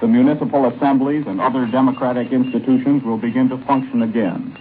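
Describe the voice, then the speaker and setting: A man keeps a moderate pace and ordinary pitch variation as noticeable background noise carries on. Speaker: war correspondent. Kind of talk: radio news report. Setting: shortwave broadcast.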